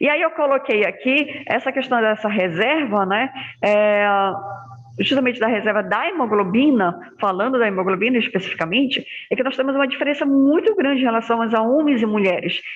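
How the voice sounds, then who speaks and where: A woman's high voice at a fairly quick pace, with lively intonation and very even loudness. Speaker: hematology lecturer. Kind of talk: online lecture. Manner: soft-spoken.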